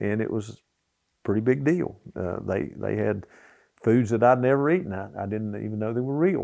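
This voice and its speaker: Talking at a fairly quick pace, a man with an Appalachian accent holds a medium pitch. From US Appalachia, southwest Virginia (Richlands). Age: 70s. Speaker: former coal miner. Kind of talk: casual storytelling interview. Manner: halting, many fillers and restarts.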